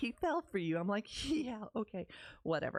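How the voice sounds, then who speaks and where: The speaker has a Texas accent and an animated tone. The background is quiet. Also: woman. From Texas, Dallas-Fort Worth area. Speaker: podcast host, women's community founder. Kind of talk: personal storytelling podcast.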